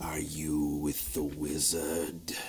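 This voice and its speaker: This is a man putting on a character voice. His pitch is very deep and low, and there is noticeable background noise. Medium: actual play. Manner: weary, somber.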